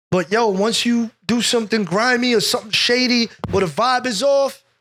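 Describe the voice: A man speaks at a moderate pace with an extremely high pitch and a fairly bright tone. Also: ordinary pitch variation.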